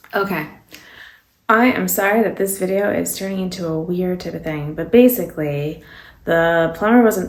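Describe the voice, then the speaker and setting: A woman talks at a moderate pace with ordinary pitch variation, with audible room echo around her. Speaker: beauty vlogger. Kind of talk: casual chat while doing makeup. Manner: rambling with many fillers.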